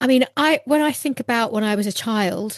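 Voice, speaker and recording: Lively intonation marks this voice with a Northwest English accent, recorded with a dry, close sound and no echo. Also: woman. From northwest England, near Lancaster. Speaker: running coach. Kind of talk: interview podcast. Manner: hesitant, with false starts.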